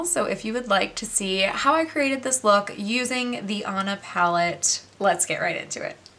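Her pitch fairly high and intonation lively, a woman speaks at a moderate pace over noticeable background noise. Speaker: beauty youtuber. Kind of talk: tutorial. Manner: animated.

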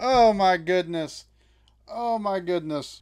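A man speaks. The background is quiet. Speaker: reaction video host. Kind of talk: casual reaction commentary.

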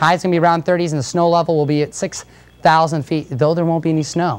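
Music plays in the background as a woman talks at a very fast pace. Her pitch is fairly low. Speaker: news anchor.

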